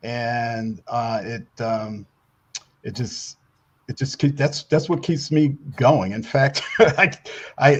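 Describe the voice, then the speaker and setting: Somewhat breathy, a man at medium pitch speaks at a very slow pace with ordinary pitch variation. His loudness swings widely, and he takes long, frequent pauses. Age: 70s. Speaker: newspaper publisher and Navy contractor. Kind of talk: interview. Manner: halting, many repetitions and fillers.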